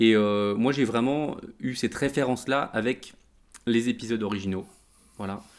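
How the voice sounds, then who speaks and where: A medium-pitched man at a moderate pace with fairly even intonation and long, frequent pauses, on a very clean recording with a silent background. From France. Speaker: geek culture website founder. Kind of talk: casual chat.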